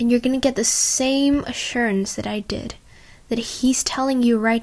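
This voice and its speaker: A woman with a fairly high, somewhat breathy voice talks at a fairly slow pace in a flat monotone. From Indonesia. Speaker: podcaster. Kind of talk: personal testimony.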